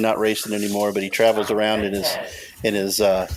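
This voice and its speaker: Noticeable background noise accompanies a man speaking very fast with an American accent. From Southwest Ohio, Cincinnati area. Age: 40s. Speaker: podcast host. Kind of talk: casual chat.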